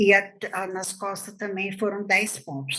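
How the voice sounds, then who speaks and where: A woman speaks in a normal speaking voice at a fairly slow pace. Her pitch sits in the medium range. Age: 60s. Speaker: teacher, attack survivor. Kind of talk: interview testimony.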